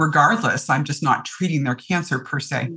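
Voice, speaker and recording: A woman's very deep, low voice in a Canadian accent at a moderate pace. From Ontario, Canada. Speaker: physician. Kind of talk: interview, medical advice.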